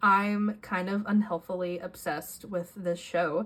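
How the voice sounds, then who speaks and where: A woman speaking somewhat breathily, her pitch varying in an ordinary way. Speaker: journaling youtuber. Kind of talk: casual show-and-tell vlog.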